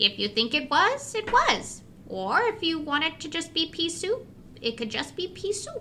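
A female-sounding put-on character voice at an extremely high pitch swings very widely in pitch at a moderate pace, with clear background noise. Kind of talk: horror podcast audio drama. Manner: warm, cheerful, a little mysterious.

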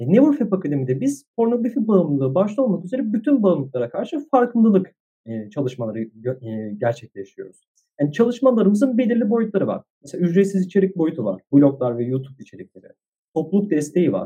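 A man speaks very fast in a high pitch with very wide pitch swings. His tone is dark and mellow. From Istanbul, Turkey. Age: 20s. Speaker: psychology student and social entrepreneur. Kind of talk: casual interview.

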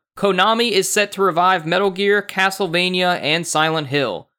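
Bright and sharp in tone, a man's voice sits high for a man on a very clean recording with a silent background. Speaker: podcast host. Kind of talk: casual banter. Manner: talkative, informal.

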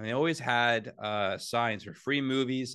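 A man speaks in a plain, everyday voice with a Canadian accent. His pitch is medium with ordinary variation, at a fairly slow pace. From Ontario, Canada. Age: 40s. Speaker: sports journalist. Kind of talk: casual chat.

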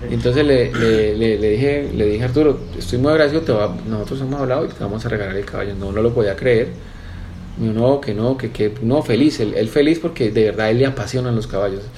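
A man speaks at a medium pitch and a fairly quick pace, with ordinary pitch variation. Noticeable background noise and audible room echo surround his voice. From Colombia, Valle del Cauca (Cali). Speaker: businessman and horse breeder. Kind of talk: interview. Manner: halting, repeats words.

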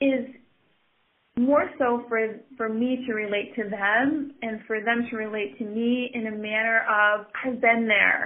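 The speaker talks very slowly with an American accent. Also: woman. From northeast Wisconsin, US. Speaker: study abroad coordinator. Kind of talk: interview.

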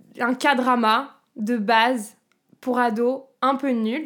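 A woman with a high pitch and fairly even intonation, on a very clean recording with a silent background. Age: 20s. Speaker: singer and actress. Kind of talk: casual chat.

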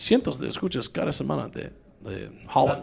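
This is a man's voice. He speaks with a Mexican accent. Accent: speaks Spanish like a Mexican. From US South, Louisiana (Baton Rouge). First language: English (speaking Spanish). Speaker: tech entrepreneur and podcast host. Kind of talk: casual interview chat. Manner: halting, many repetitions and code-switching.

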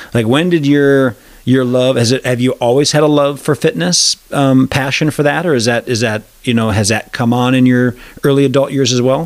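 At a fairly quick pace, a man speaks in a plain, everyday voice of medium pitch with an American accent and fairly even intonation. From Wisconsin. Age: 40s. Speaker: podcast host. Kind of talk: casual interview chat.

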